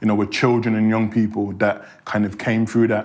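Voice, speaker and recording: Fairly low male pitch in a Birmingham accent, monotone, flat intonation and a fairly quick pace. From Birmingham, England. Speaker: criminologist and university lecturer. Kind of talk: interview.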